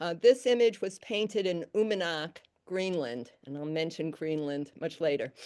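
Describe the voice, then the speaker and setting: A woman with a New York accent speaks at a moderate pace in a fairly low voice with a dark, mellow tone. Her intonation is lively, with big swings in loudness over a quiet background. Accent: New York accent, still remaining. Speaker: weaver and color design lecturer. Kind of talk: lecture. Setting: stage with audience.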